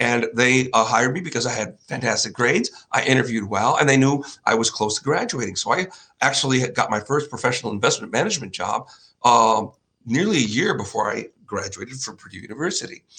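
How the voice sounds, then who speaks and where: With a Chicago accent, a man talks at a very fast pace. His tone is bright and sharp. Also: medium pitch for a man. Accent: Chicago-area American. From US Midwest, northwest Indiana near Chicago. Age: 60s. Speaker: finance show host, former investment banker. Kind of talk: solo presentation with slides. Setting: home studio in living room. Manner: casual, with hesitations.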